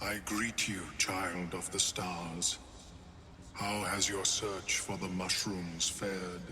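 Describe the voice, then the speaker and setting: Using a put-on character voice, a man speaks very slowly in a very deep, low pitch over clear background noise. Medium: video game. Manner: formal, measured, courteous.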